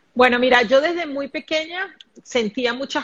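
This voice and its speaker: The speaker is a woman with a high pitch and a bright, sharp tone. Her pitch variation is ordinary. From Venezuela, Caracas. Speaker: spiritual medium and life coach. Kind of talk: live stream conversation. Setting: live video stream.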